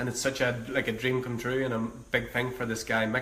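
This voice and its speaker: A man with an Irish accent speaks at a medium pitch in a monotone, flat intonation, with audible room echo. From Ireland. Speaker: breathwork coach and live streamer. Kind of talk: casual live-stream monologue. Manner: halting.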